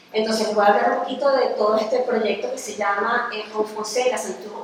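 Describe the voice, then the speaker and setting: Speech at a moderate pace, audible room echo around it and noticeable background noise beneath. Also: woman. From Venezuela. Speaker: architect and university researcher. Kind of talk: lecture. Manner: halting, many fillers.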